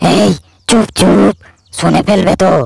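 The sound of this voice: In a cartoonish character voice, a man talks with a high pitch, vocal fry and a slightly mellow tone. His pace is fairly slow and his intonation fairly even.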